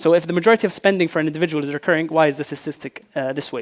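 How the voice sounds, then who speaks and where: Over a silent background in a very clean recording, a man talks very fast at a fairly high pitch with ordinary pitch variation. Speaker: fintech founder. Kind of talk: conference presentation. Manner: hesitant, many fillers.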